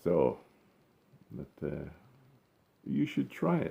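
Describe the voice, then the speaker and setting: In a dark, mellow tone with vocal fry, a man speaks at a very slow pace. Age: 70s. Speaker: gardening vlogger. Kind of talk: casual vlog talk to camera. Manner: halting, many fillers.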